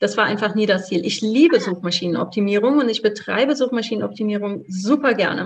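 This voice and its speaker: A plain, everyday voice moves at a fairly quick pace with hardly any pauses. Its pitch variation is ordinary. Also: woman, medium pitch for a woman. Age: 40s. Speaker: blogging coach. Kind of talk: interview.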